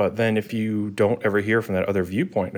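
A man with an American accent talks with fairly even intonation. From New York City (Staten Island). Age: 30s. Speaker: tech engineering director. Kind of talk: casual interview.

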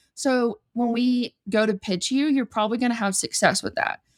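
A speaker with a Southern US accent and ordinary pitch variation. The sound is dry and close with no echo, on a very clean recording with a silent background. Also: woman. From US South, Georgia. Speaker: influencer manager. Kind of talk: casual interview chat.

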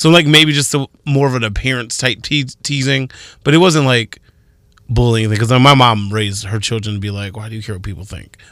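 Over a very clean recording with a silent background, a man speaks fairly quickly at medium pitch in a bright, sharp tone. His pitch variation is ordinary, while his loudness swings widely. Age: 30s. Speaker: radio morning show co-host. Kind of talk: casual morning radio chat.

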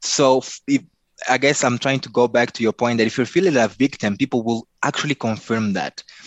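With a Mozambican accent, a man talks at a fairly quick pace, medium in pitch with ordinary pitch variation. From Mozambique. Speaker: life coach and speaker. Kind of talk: interview.

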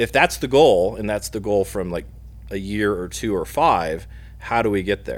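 A man talks with a Midwestern US accent. His pace is moderate. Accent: US Midwest. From Indiana, Muncie. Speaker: battery company product manager. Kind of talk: podcast interview.

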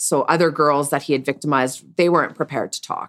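This woman has a very deep, low voice and fairly even intonation. The sound is dry and close, with no echo. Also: very clean recording, silent background. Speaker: sex worker. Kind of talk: casual interview, telling personal story.

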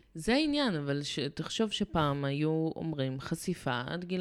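A woman speaks at a fairly slow pace, her pitch very deep and low. Her intonation is lively, and the recording is very clean with a silent background. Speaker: dog behavior therapist. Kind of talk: casual chat.

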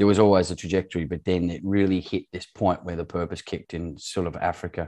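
Speaking at a very fast pace with fairly even intonation, this voice has an Australian accent and a quiet background. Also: man. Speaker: former farm manager in Zimbabwe. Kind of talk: interview conversation.

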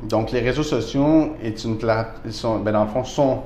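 Noticeable background noise and audible room echo fill the recording. A man with a medium pitch talks at a fairly slow pace, his intonation fairly even. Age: 30s. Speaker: real estate broker. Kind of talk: casual interview. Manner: hesitant with many fillers.

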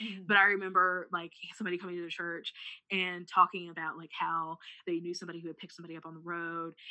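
Speaking very fast with an American accent, a woman uses a fairly low pitch and monotone, flat intonation, with big swings in loudness. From US Midwest (rural Missouri). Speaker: preacher and writer. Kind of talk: casual chat. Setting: call.

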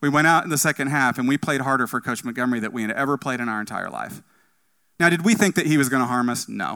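Very fast speech with a bright, sharp tone and ordinary pitch variation, on a very clean recording with a silent background. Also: man, medium pitch for a man. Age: 40s. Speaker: church outreach director preaching a sermon. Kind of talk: sermon. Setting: church.

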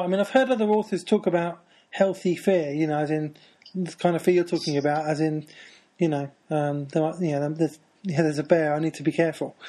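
With a British accent, the speaker talks at a fairly quick pace in a dark, mellow tone with ordinary pitch variation against a quiet background. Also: man. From Britain. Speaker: podcast host. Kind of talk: casual interview chat.

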